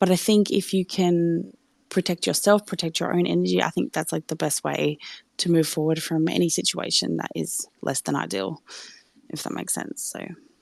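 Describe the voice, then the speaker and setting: Against a quiet background, a woman with an Australian accent speaks at a moderate pace. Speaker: listener joining to speak. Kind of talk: casual chat. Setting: live audio chat room.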